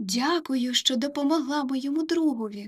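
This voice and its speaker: A woman uses a put-on character voice at a high pitch. Her pace is moderate. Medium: read story.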